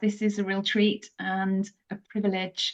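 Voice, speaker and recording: A woman with a British accent at a very slow pace. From England. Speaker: pilgrimage guide. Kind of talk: interview conversation. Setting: podcast.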